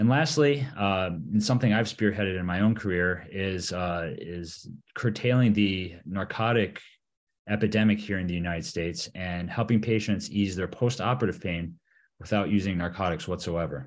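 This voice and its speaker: A man's ordinary speaking voice with an American accent, fairly low in pitch, with ordinary pitch variation, at a moderate pace against a quiet background. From Michigan. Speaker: orthopedic surgeon and team physician. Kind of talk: interview.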